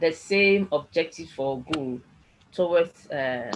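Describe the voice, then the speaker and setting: A woman with a Ghanaian accent, lively intonation and a moderate pace. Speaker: tutor. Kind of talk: online lecture.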